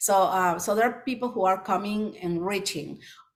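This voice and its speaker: With a Spanish accent, the speech shows ordinary pitch variation. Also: woman. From Peru, Lima. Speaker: children's book author. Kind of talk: presentation Q&A. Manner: halting with many fillers.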